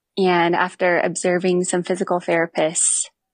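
A woman talks with an American accent at a fairly low pitch. Her intonation is monotone and flat against a quiet background. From Montana, US. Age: 20s. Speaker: physical therapist and fitness coach for riders. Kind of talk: interview testimony.

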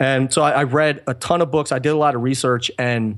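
A man speaks at a moderate pace. He has a normal speaking voice. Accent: American. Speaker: drummer. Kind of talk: interview.

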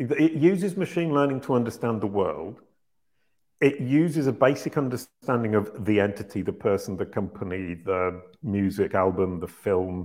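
This man has an unremarkable speaking voice with a fairly low pitch. He moves at a moderate pace with lively intonation. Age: 50s. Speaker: search marketing consultant and company founder. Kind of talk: Q&A interview.

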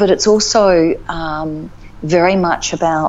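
With an Australian accent, a woman speaks in a fairly low voice over noticeable background noise. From Northern Territory, Australia (Alice Springs). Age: 50s. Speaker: life coach. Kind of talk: casual interview chat.

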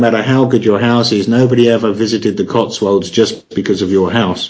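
The speaker is a man with a medium pitch. His delivery stays monotone and flat. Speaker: online marketing course creator. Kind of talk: interview. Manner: hesitant, filler words.

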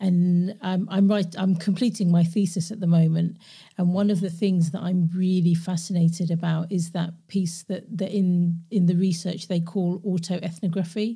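A somewhat breathy voice with a dark, mellow tone and monotone, flat intonation, at a moderate pace. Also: woman, fairly low pitch for a woman. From London, England. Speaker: podcast host and coach. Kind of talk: casual interview chat. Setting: remote call.

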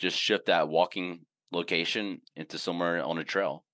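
Against a quiet background, a man with a Southern US accent talks at a fairly quick pace. His voice is very deep and low, with a bright, sharp tone. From US South, Mississippi. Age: 40s. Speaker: outdoor gear company CEO. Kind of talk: casual interview. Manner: halting, many fillers.

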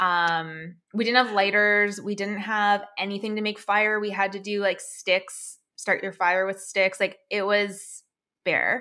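With a Canadian accent and a bright, sharp tone, a woman talks at a medium pitch and a fairly slow pace, her intonation monotone and flat. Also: very clean recording, silent background. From Canada, Alberta. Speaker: online business coach for fitness coaches. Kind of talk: interview, personal story.

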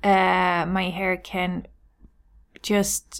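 A woman is speaking. She has a Swedish accent. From Sweden. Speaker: hairstylist and business coach. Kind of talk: solo podcast monologue.

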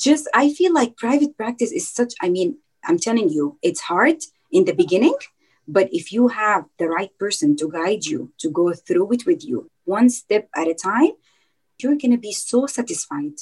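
A woman's voice shows vocal fry. Her pitch swings very widely. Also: fairly high pitch for a woman, moderate pace. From Dubai, UAE. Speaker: dietitian. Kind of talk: interview.

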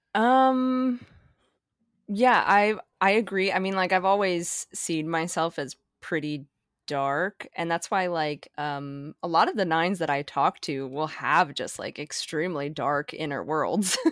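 A woman's fairly low voice with lively intonation at a fairly slow pace, on a very clean recording with a silent background. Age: 20s. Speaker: dream analyst and artist. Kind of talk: casual interview conversation. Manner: hesitant, many fillers.

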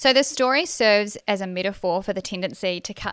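On a very clean recording with a silent background, a woman with a New Zealand accent speaks at a moderate pace. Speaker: podcast host and racing driver. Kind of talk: solo monologue podcast episode. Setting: studio. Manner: casual, chatty, laughs often.

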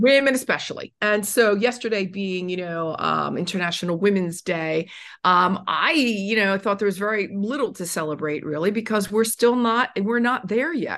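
A woman in an unremarkable speaking voice at medium pitch, moderate pace with hardly any pauses and ordinary pitch variation, over a quiet background. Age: 60s. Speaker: author and self-esteem speaker. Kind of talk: interview.

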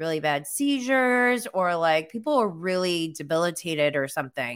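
A woman speaks with an American accent at a moderate pace and medium pitch, in an unremarkable speaking voice. The recording is very clean, with a silent background. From upstate New York. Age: 40s. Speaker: podcast host and content creator. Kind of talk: live-stream talk. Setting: live stream from home. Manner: casual, filler-heavy.

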